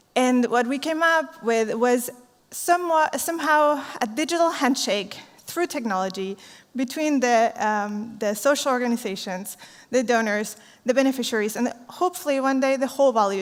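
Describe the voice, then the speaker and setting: A woman speaks at a moderate pace with a Spanish accent. Her voice is high-pitched, and her intonation is lively. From Chile. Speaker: social entrepreneur. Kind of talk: conference talk.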